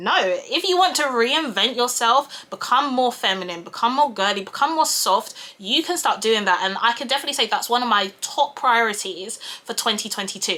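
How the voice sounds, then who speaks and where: A woman's fairly high voice carries lively intonation, with noticeable background noise behind it. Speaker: YouTuber and project manager. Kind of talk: casual vlog talk while doing makeup. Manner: loud.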